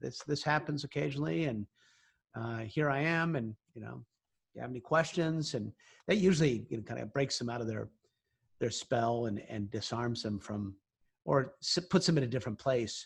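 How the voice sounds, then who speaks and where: A man at a moderate pace, somewhat breathy and with lively intonation, in a very clean recording with a silent background. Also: medium pitch for a man. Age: 60s. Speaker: science and space journalist. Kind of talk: interview. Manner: halting, many fillers.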